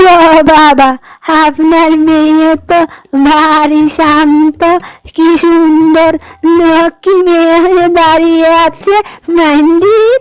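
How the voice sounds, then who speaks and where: Very slowly, a female-sounding cartoonish character voice speaks at an extremely high pitch. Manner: sly, ends sentences with a pet word.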